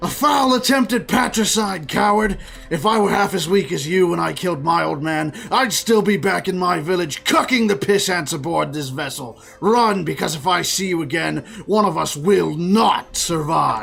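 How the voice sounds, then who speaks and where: Over light background noise, a man puts on a character voice at a high pitch and a moderate pace. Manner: yelling, hostile.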